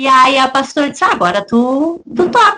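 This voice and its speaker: The speaker uses a raised, projected voice with a bright, sharp tone in a southern Brazilian accent. The intonation is lively and the pace moderate. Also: woman. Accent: gaúcho Brazilian Portuguese. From southern Brazil, Rio Grande do Sul. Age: 40s. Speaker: church deaconess and worship singer. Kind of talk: testimony interview.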